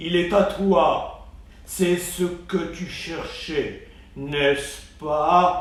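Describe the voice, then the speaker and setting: In a put-on character voice pitched high, a man speaks at a very slow pace, with light background noise and slight echo. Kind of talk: bedtime story. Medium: read story. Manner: regal, authoritative.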